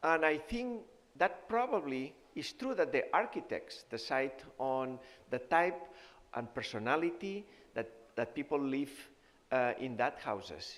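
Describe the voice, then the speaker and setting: A man with a Spanish accent speaks at a fairly high pitch with very wide pitch swings. His pace is fairly slow, with long, frequent pauses. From Spain (Barcelona). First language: Spanish or Catalan. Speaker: nutrition professor and physician. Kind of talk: health seminar talk. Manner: halting, with fillers.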